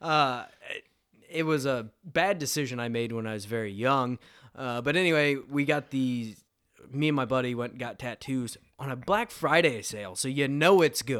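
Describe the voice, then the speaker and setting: In a very clean recording with a silent background, a man uses an ordinary speaking voice at a moderate pace with ordinary pitch variation. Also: medium pitch for a man. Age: 20s. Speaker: podcast co-host. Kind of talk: casual chat. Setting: home man cave studio.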